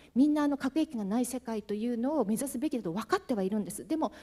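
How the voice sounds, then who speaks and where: A woman speaks with a fairly high pitch and a dark, mellow tone. Her voice is somewhat breathy. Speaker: moderator, university researcher; moderator. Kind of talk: panel discussion moderating. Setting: conference hall with audience. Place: hall. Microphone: handheld.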